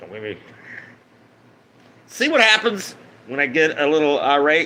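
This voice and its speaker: A man speaks with very wide pitch swings and big swings in loudness. Noticeable background noise runs underneath. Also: fairly high pitch for a man, moderate pace. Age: 50s. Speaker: live streamer. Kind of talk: casual livestream monologue. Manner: slurred speech at times; rambling, halting.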